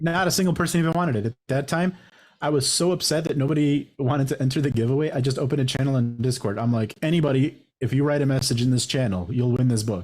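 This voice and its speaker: Very fast and somewhat breathy, a man speaks at fairly high pitch with very even loudness. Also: ordinary pitch variation. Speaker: podcast host. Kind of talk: casual chat.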